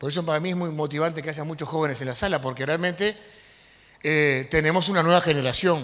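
The pace is fairly quick. The tone is fairly bright. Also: man, fairly high pitch for a man, ordinary pitch variation.

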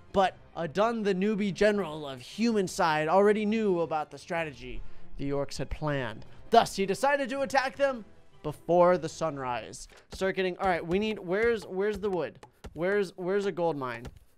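A man speaks at a moderate pace while faint music sits in the background. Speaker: gaming streamer.

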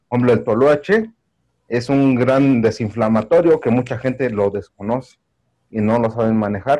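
A man speaks at a moderate pace with a Mexico City accent, his dark, mellow tone carrying ordinary pitch variation. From Mexico City, Iztapalapa. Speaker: audience member. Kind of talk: Q&A comment. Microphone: video call.

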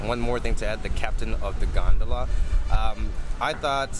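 Loud music plays behind a man talking at a fairly quick pace, his sound dry with no echo. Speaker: travel vlogger. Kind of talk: casual vlog chat. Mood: relaxed, enthusiastic. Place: waterside. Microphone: phone near.

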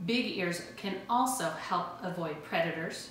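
The pace is fairly slow. Room echo is audible, and there is light background noise. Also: woman. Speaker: teacher presenting a school science video. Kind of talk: educational children's video, explaining and giving activity instructions. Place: kitchen. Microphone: camera far.

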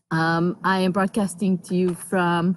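The voice moves at a fairly slow pace in a dry sound with no echo. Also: woman. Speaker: livestream host. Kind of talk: casual vlog chat. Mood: cheerful, relaxed. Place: open country. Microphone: phone near.

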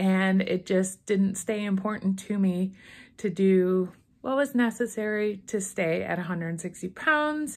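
At a very slow pace, a woman speaks with ordinary pitch variation. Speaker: weight loss vlogger. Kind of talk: casual vlog chat. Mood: cheerful, upbeat. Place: home room. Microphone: phone near.

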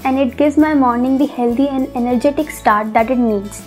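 With faint music in the background, a woman talks at a moderate pace in a high pitch, her pitch variation ordinary. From India. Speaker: home cook, food vlogger. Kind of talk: casual talk to camera. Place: home room. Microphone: lapel.

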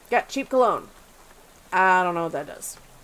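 The speaker is a woman. Her intonation is lively. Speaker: let's play gamer. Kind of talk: casual let's play commentary with reading of game text. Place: home room. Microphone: headset.

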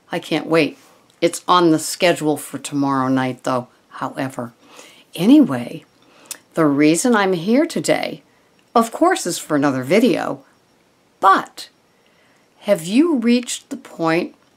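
Her pitch is fairly low, and this woman's pitch swings are very wide. She speaks at a fairly slow pace with long, frequent pauses. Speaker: wellness vlogger. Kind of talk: casual vlog chat. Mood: warm, enthusiastic. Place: home room. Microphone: webcam.

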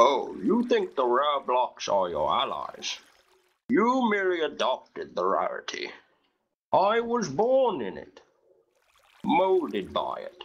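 A man in a cartoonish character voice at a fairly slow pace. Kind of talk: parody villain monologue.

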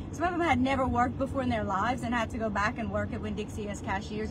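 Someone with a Louisiana accent speaks at a very fast pace over noticeable background noise. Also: woman. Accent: Southern US, Louisiana. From South Louisiana. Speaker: real estate agent. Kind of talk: life story telling, personal vlog monologue. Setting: video recording, monologue to camera. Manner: earnest, conversational, emotionally candid. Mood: reflective, earnest storytelling. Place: car. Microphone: phone near.

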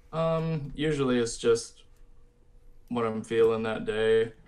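With an American accent, a man speaks at a fairly slow pace with fairly even intonation. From Michigan. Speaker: metal musician; guest. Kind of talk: casual interview. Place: home room. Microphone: video call.

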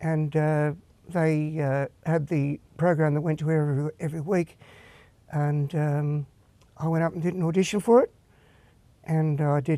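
A man with an Australian accent and a dark, mellow tone, fairly high in pitch, at a moderate pace with long, frequent pauses, fairly even intonation and a dry sound with no echo. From Australia, Perth. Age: 60s. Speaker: singer and guitarist. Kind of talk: interview. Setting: studio. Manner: halting. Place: studio.

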